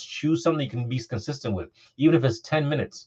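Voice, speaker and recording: The man sounds somewhat breathy, with ordinary variation in his pitch. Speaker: investment coach, podcast host. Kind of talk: motivational talk. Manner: fast.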